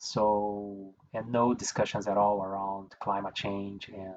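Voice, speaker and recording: A man's fairly low, monotone, flat voice with a Portuguese accent, at a fairly slow pace. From Brazil. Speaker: environmental engineer. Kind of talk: interview. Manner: halting, many fillers and repeats.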